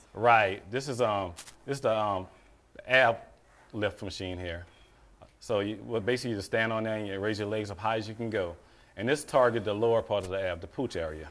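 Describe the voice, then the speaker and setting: A plain, everyday voice from a man, fairly low in pitch, at a fairly quick pace with ordinary pitch variation. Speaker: fitness trainer. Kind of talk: interview answer. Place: gym.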